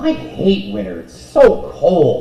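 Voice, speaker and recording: A put-on character voice with a slight echo. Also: man. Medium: actual play.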